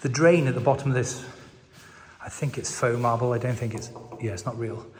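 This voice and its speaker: At a moderate pace, a man whispers over noticeable background noise, with audible room echo. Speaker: property vlogger and hotel owner. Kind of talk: walkthrough video tour. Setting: inside an abandoned hotel. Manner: whispering to avoid echo.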